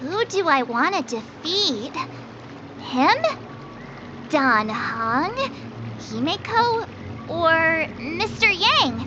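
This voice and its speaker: A put-on character voice with a high pitch moves at a very slow pace, broken by long, frequent pauses, over clear background noise. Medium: video game. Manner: energetic, cheerful.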